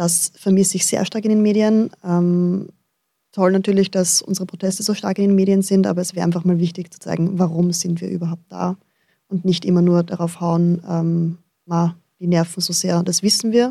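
Her fairly low voice has a dark, mellow tone, and the woman keeps her intonation flat and monotone. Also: moderate pace. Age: 20s. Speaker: primary school teacher. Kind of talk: radio interview. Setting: studio.

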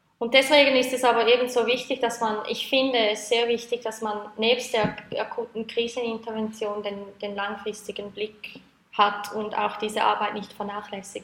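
A woman speaks at a fairly high pitch with monotone, flat intonation. Noticeable background noise sits behind her. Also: moderate pace. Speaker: project leader at sex worker advocacy network. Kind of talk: interview.

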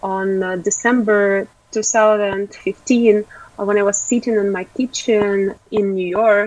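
A woman's medium-pitched voice, monotone and flat in intonation, at a very slow pace. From Ukraine. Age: 20s. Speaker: animal rights activist. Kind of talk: interview.

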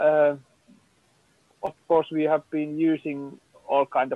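A man with a Finnish accent speaks in a fairly high pitch. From Finland. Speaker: film producer. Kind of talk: panel discussion.

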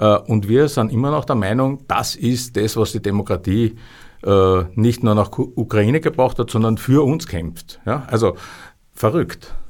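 In an unremarkable speaking voice, a man talks at a fairly slow pace and medium pitch with ordinary pitch variation, on a very clean recording with a silent background. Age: 60s. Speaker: historian and publisher. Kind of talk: interview. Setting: studio.

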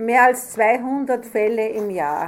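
A woman's voice with ordinary pitch variation. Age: 60s. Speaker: retired judge. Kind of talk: interview with children.

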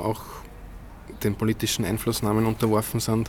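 A man's fairly low voice, monotone and flat in intonation. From Upper Austria, Innviertel. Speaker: architect, new head of an architecture forum. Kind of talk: interview. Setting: outdoors on a terrace.

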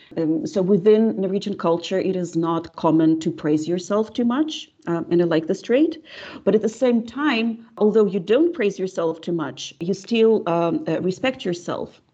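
A woman in a Russian accent, medium-pitched with a dark, mellow tone, very wide pitch swings, a fairly slow pace and hardly any pauses. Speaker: linguistics professor. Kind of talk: interview. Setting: video call. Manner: hesitant, many fillers.

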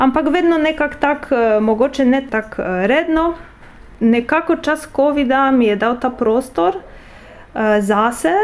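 A woman with a Polish accent and lively intonation. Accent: Polish accent in Slovene. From Poland. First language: Polish (speaking Slovenian). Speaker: translator and university project officer. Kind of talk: interview. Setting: office.

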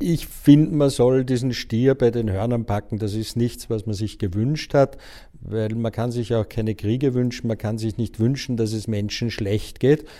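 On a very clean recording with a silent background, a dark, mellow voice speaks at a moderate pace with fairly even intonation. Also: man, medium pitch for a man. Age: 50s. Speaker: journalist and book publisher. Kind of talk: interview.

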